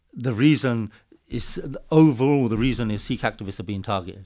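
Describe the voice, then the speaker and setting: A man with a London accent at a fairly quick pace, ordinary pitch variation and a quiet background. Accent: southern English, London-area street speech. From England, Hertfordshire; England. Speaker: Sikh activist; interview guest. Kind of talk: casual interview. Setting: studio. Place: studio. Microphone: studio mic.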